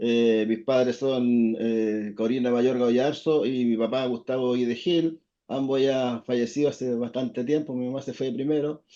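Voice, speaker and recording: Fairly slow and with hardly any pauses, a man speaks at medium pitch in a dark, mellow tone with fairly even intonation. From southern Chile, Valdivia, partly raised in Santiago. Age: 60s. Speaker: fishermen's federation leader. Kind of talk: interview. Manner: hesitant, many fillers.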